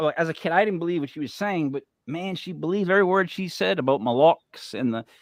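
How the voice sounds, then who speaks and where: Speaking at a fairly quick pace, a man with fairly high pitch and lively intonation is heard in a dry, close recording with no echo. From US Northeast, Italian-American family. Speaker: podcast host. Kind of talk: casual chat, podcast interview. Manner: animated, lots of gestures; halting, many fillers and restarts.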